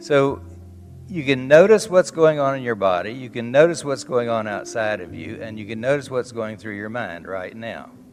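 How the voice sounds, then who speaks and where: The speaker has a Southern US accent and lively intonation, with big swings in loudness. Music plays in the background. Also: man, medium pitch for a man, moderate pace. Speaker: psychotherapist. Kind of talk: conference talk. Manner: blunt, witty.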